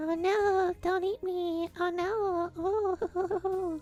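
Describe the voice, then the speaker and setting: Over clear background noise, a put-on character voice speaks very slowly at an extremely high pitch, monotone and flat. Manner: frightened, pleading.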